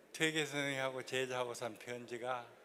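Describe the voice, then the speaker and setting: Heard with audible room echo, a man speaks in a bright, sharp tone at a fairly high pitch. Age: 90s. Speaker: lecturer, former executive. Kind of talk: lecture.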